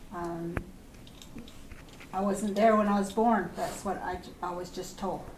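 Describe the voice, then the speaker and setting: The delivery is monotone and flat, with long, frequent pauses and big swings in loudness. Room echo is audible, and background noise is noticeable. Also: woman, medium pitch for a woman, fairly slow pace. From Acoma, New Mexico. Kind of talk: interview.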